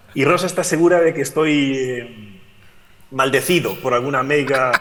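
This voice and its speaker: Speaking with a Galician accent, a man has a fairly high pitch and ordinary pitch variation, with noticeable background noise. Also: moderate pace. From Galicia, Spain. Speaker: physicist and climate scientist. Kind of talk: remote talk at education event. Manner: hesitant, many fillers.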